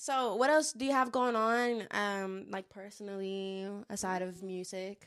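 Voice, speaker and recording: A woman's unremarkable speaking voice at medium pitch, fairly slow in pace, with ordinary pitch variation. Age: late 20s. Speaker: podcast host and musician, military veteran. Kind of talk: casual chat.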